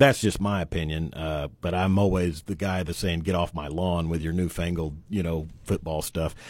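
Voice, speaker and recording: This man has a very deep, low pitch and an American accent, with fairly even intonation. He keeps a moderate pace with hardly any pauses, on a very clean recording with a silent background. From eastern Oklahoma, Coweta. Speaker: sports podcast host. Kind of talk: casual interview. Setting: radio studio.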